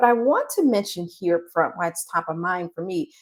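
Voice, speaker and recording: A woman speaks in a soft-spoken way at a moderate pace. Her intonation is lively. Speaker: career coach. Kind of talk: live stream coaching talk. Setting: live stream.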